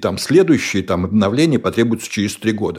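On a very clean recording with a silent background, a man with an ordinary speaking voice talks at medium pitch with lively intonation. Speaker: tech company executive. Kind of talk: interview.

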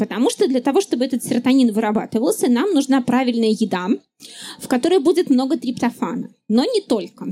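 High-pitched and lively in intonation, a woman speaks at a fairly quick pace. Her tone is dark and mellow. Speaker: neuroscientist and science popularizer. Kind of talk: live public talk. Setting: stage with audience at festival.

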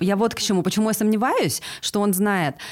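A woman speaks with a fairly high pitch. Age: 40s. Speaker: podcast co-host. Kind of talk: casual chat.

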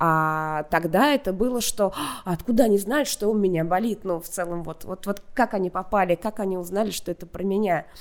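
A woman's plain, everyday voice, medium in pitch and at a fairly quick pace, in a very clean recording with a silent background. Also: ordinary pitch variation. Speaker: content director at a video platform. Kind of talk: casual interview.

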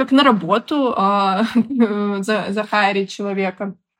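On a very clean recording with a silent background, a woman speaks in an unremarkable speaking voice, fairly high in pitch with ordinary pitch variation. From Belarus, Minsk. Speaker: product manager. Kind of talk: interview.

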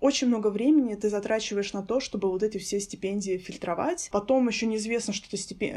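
A woman talks at a fairly quick pace in a dark, mellow tone. The recording is very clean, with a silent background. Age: 20s. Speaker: guest, master's student. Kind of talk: casual interview chat.

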